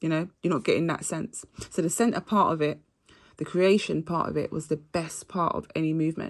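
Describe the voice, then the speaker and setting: A woman's fairly low voice, animated, at a fairly quick pace with ordinary pitch variation, over a quiet background. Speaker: astrology reader. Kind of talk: astrology reading monologue. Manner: fast.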